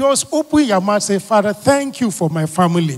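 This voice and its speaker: The man's voice sits high in pitch. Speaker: pastor leading prayer. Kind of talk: fervent prayer and sermon-style thanksgiving, with repeated call-and-response cues. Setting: live church prayer meeting streamed online. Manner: earnest, rhythmic, repeating phrases for emphasis. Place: church. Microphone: handheld.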